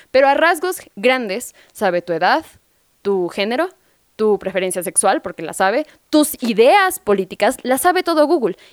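A woman speaks at a moderate pace in a high pitch with very wide pitch swings. The sound is dry and close, with no echo. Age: 20s. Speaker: radio host. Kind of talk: casual chat.

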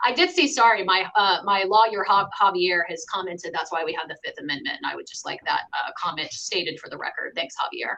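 Over noticeable background noise, a woman speaks at a fairly quick pace with big swings in loudness. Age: 30s. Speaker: sales and marketing director. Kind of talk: casual chat.

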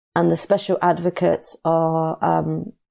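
In a British accent, a woman speaks on a very clean recording with a silent background. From UK. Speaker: migrant rights campaigner. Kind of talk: interview. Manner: halting.

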